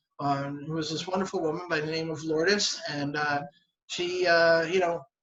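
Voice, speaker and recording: With a Philadelphia accent, a man speaks at a high pitch in fairly even intonation. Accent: Philadelphia-area American English. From southern New Jersey. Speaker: English teacher. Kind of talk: casual interview. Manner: halting, many fillers and repetitions.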